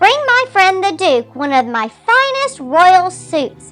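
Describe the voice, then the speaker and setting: A woman puts on a squeaky character voice at a fairly slow pace. Faint music plays in the background. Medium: read story. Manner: gracious, regal.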